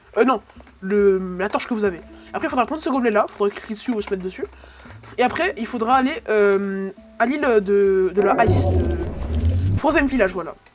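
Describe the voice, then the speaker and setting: Music in the background underlies speech broken by long, frequent pauses. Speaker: gaming YouTuber. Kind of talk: gameplay tutorial. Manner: fast; halting.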